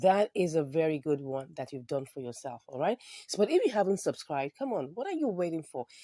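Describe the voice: The sound is dry and close, with no echo. A woman speaks low and fairly quickly in a dark, mellow tone.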